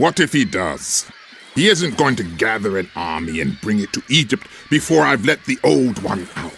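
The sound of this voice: A man puts on a character voice, fairly low in pitch with a fairly bright tone and vocal fry. He moves at a moderate pace with big pitch swings.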